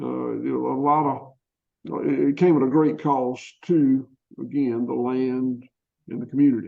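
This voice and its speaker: His pitch is medium. The man talks with a Southern US accent. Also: ordinary pitch variation, moderate pace. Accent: Southern US (Georgia). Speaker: farmer. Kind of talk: interview. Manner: halting.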